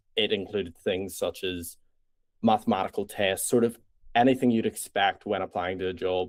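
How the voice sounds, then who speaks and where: A man in a Northern Irish accent speaks at a moderate pace, his fairly low voice carrying fairly even intonation. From Northern Ireland. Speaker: startup founder. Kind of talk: interview pitch.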